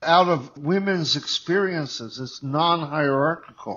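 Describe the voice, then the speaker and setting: In an American accent, the voice moves at a fairly slow pace with ordinary pitch variation. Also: man. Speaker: political organizer and former student activist. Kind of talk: panel discussion with students. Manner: halting, repeats words.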